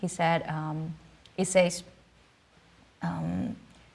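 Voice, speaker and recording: A woman's somewhat breathy voice, fairly low in pitch, at a very slow pace. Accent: Cantonese. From southern China, Canton. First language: Cantonese. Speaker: musician. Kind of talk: interview. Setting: studio. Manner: halting, many fillers.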